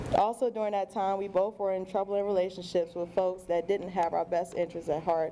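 A woman speaks at a moderate pace in a flat monotone. Light background noise is present. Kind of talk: wedding vows. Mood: warm, tender, light laughs. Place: hall.

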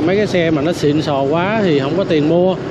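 Loud background noise fills the recording. The sound itself is dry, with no echo. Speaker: street vlogger. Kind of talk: casual commentary. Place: motorbike.

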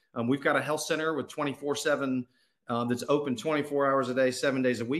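Behind the speech, things stay quiet. The speed sits in the middle. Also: man. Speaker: school administrator; presenter. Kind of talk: presentation. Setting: video call. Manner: formal. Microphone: video call.

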